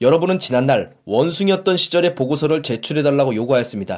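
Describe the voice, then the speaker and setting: A man's normal speaking voice, fairly quick in pace, with lively intonation. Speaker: audiobook podcast host. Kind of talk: reading aloud. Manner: formal.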